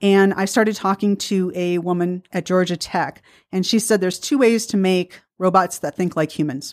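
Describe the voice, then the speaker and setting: A woman with an American accent and a plain, everyday voice speaks at a medium pitch and a moderate pace with ordinary pitch variation, in a very clean recording with a silent background and a dry, close sound with no echo. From US Midwest, Milwaukee. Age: 50s. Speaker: physicist and author. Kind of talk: radio interview. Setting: radio studio.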